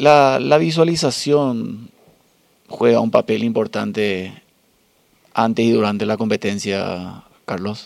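A man with a medium pitch and ordinary pitch variation speaks. His pace is very slow, with long, frequent pauses. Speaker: podcast host and masters swimmer. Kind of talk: interview.

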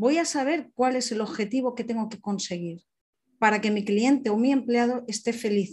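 Speaking at a fairly high pitch, a woman keeps a moderate pace with ordinary pitch variation. Her voice sounds somewhat breathy. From Alicante, Spain. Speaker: personal development coach. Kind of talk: online seminar talk.

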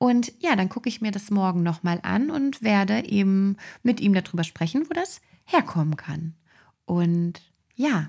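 A somewhat breathy woman's voice of medium pitch, with lively intonation. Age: 20s. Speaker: osteopathic practitioner and podcast host. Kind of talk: solo podcast monologue.

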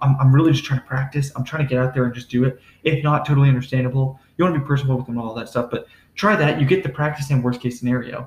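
At a very fast pace, a somewhat breathy man speaks at a medium pitch with fairly even intonation. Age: 20s. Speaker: entrepreneur. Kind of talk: casual chat.

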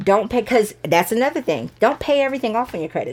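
Speaking at a very fast pace with an American accent, a woman has a fairly high pitch and lively intonation. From US South, Georgia (Sandy Springs). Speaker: realtor. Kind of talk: casual interview.

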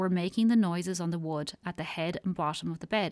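At a fairly quick pace, an ordinary speaking voice comes through with ordinary pitch variation and a dry, close sound with no echo. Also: woman, very clean recording, silent background. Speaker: radio host. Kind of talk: casual chat; folk ghost story narration. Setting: radio studio. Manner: warm, chatty.

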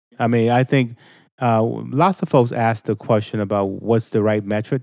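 Against a quiet background, a man with an American accent talks at a moderate pace and medium pitch. He has a plain, everyday voice with fairly even intonation. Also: dry, close sound with no echo. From Boston, Mattapan. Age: 50s. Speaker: state representative. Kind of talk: casual chat. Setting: studio.

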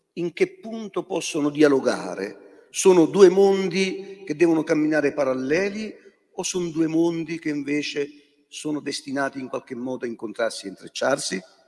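A man with an ordinary speaking voice talks at a moderate pace and a fairly high pitch, his intonation lively and his loudness swinging widely. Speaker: bishop and moderator. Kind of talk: moderated debate. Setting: stage with audience.

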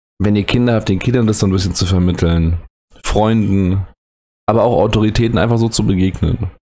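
This man has a dark, mellow tone and a fairly low pitch, and he talks at a fairly quick pace. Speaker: educator and podcast host. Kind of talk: solo late-night podcast monologue. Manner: halting, hesitant.

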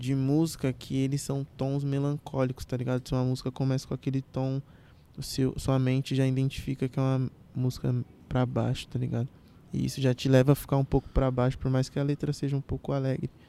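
Dry and close with no echo, a man's medium-pitched voice has a dark, mellow tone and a monotone, flat intonation at a fairly quick pace. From Brazil, Carapicuíba, São Paulo state. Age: 20s. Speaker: trap artist. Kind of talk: casual chat.

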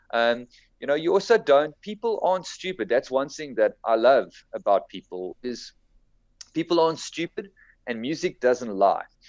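A man speaks at a moderate pace with a fairly high pitch and very wide pitch swings. The sound is dry and close with no echo, over a quiet background. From South Africa, Cape Town (Durbanville). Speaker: musician. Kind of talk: casual interview chat.

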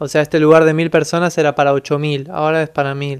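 A man talks at a fairly quick pace with a fairly high pitch and fairly even intonation. It's a plain, everyday voice in a very clean recording with a silent background. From Buenos Aires, Argentina. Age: 20s. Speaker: musician. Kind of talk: interview.

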